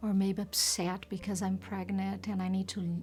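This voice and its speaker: On a very clean recording with a silent background, the speaker has a non-native accent. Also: woman. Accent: foreign. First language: not English. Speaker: volunteer. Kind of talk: interview testimony.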